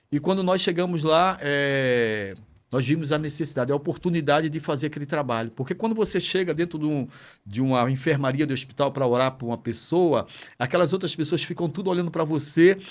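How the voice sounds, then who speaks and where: In a very clean recording with a silent background, a man with an ordinary speaking voice talks at a fairly quick pace in a fairly high pitch, with ordinary pitch variation. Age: 60s. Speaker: pastor. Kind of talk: podcast interview.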